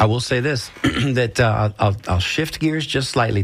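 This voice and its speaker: On a very clean recording with a silent background, a somewhat breathy man speaks at a moderate pace with ordinary pitch variation. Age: 60s. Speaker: radio host. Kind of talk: casual chat.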